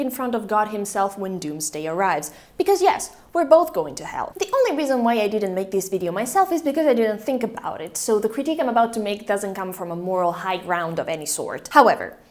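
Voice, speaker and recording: The speaker has a non-native accent and very wide pitch swings. The pace is fairly quick, with hardly any pauses. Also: woman. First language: not English. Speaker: video essayist. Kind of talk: video essay narration.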